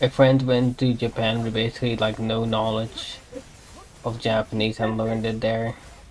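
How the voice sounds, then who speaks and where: Amid noticeable background noise, a man with a non-native accent speaks at medium pitch in a flat monotone. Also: moderate pace. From Europe. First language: not English. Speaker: streamer. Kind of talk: casual chat. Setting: live stream.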